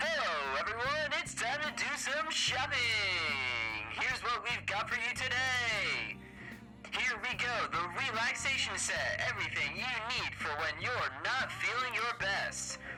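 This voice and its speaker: Over loud music in the background, a man in a put-on character voice talks at a moderate pace with an extremely high pitch. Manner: peppy salesy.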